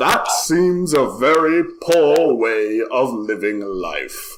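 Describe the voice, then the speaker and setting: At a very slow pace, a man uses a put-on character voice with a fairly high pitch. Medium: actual play. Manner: slow, formal, unhurried.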